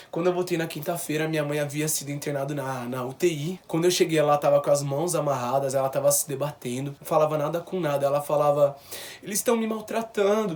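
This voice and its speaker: Noticeable background noise accompanies the recording. Over it, a man speaks fairly quickly. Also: ordinary pitch variation. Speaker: vlogger. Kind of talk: personal testimony.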